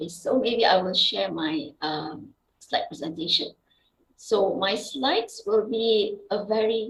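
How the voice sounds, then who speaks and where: Her voice has a somewhat breathy quality. The woman's intonation is lively. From Indonesia, West Sumatra (Payakumbuh). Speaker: university lecturer and scientist. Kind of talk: academic seminar talk. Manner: halting, many fillers.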